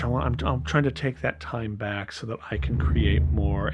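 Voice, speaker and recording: Over background music, a man speaks at a moderate pace with very wide pitch swings. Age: 60s. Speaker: filmmaker and sound designer. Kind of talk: interview. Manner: halting, many fillers.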